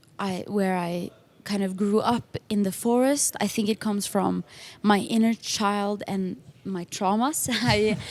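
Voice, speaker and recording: A woman speaks with a Norwegian accent. Her pace is fairly slow. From Norway. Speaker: music producer and singer. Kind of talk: interview. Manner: halting, many fillers.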